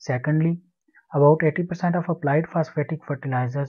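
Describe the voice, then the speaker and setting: A man talks with fairly even intonation. His voice is somewhat breathy. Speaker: PhD student. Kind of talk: conference presentation. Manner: fast.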